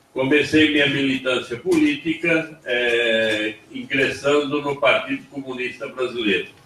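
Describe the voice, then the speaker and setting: A man with a fairly high voice talks fairly slowly and fairly evenly, with hardly any pauses, over noticeable background noise. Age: 70s. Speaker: former factory worker and torture survivor. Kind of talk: personal testimony at panel.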